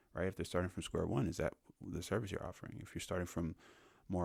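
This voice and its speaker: A man whispers quietly and very fast, with vocal fry. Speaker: business podcast host. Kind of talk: casual podcast monologue. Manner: quiet, near whisper; casual, filler-heavy.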